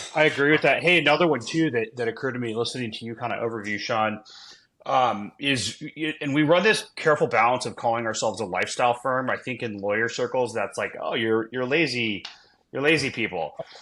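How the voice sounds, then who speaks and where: On a very clean recording with a silent background, a man talks very fast in a bright, sharp tone with ordinary pitch variation. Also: medium pitch for a man. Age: 40s. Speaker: venture law attorney. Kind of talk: casual podcast conversation.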